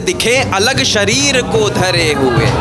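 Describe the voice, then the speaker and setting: Over music in the background, a man delivers his lines in a dramatic tone with a raised, projected voice. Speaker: poet. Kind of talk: spoken word poetry performance. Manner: dramatic, declamatory.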